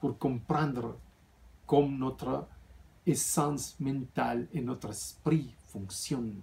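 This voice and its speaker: A man with a non-native accent speaks at a medium pitch with vocal fry. His pace is very slow, with long, frequent pauses. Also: ordinary pitch variation. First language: not French (speaking French). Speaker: spiritual author and vlogger. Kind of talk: casual vlog talk. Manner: halting, with fillers and restarts.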